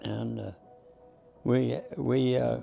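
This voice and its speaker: Music plays behind a man who talks with an American accent. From Texas. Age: 80s+. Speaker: war veteran. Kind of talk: interview answer.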